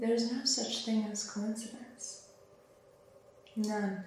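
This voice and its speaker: A soft-spoken woman whispering, with audible room echo and noticeable background noise. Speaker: spiritual teacher. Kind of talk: channelled spiritual message. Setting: at home.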